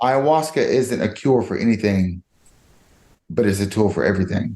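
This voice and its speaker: Speaking at a moderate pace with a Georgia accent, a man uses lively intonation, a fairly low pitch and a dark, mellow tone. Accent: Georgia (US South). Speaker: podcast guest. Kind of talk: personal testimony in interview.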